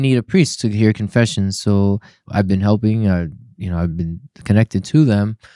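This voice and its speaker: A man's fairly low voice with a dark, mellow tone and a Spanish accent, ordinary pitch variation and a moderate pace, in a dry, close sound with no echo on a very clean recording over a silent background. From Puerto Rico. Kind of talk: casual interview.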